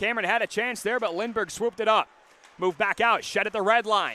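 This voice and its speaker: Raised and projected, the man's voice carries. His pitch is high. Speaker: hockey play-by-play announcer. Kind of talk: sports play-by-play commentary. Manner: fast, steady live-call delivery.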